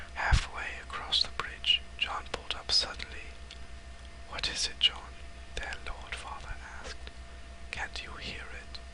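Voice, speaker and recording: Whispering in a gentle tone at a fairly slow pace, with long, frequent pauses and noticeable background noise. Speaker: ASMR creator reading a novel aloud. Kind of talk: whispered audiobook reading. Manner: soft, gentle, slow.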